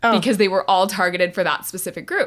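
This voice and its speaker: Her medium-pitched woman's voice has a bright, sharp tone and ordinary pitch variation. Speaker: non-profit auctioneer. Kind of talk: interview answer. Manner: lighthearted, conversational.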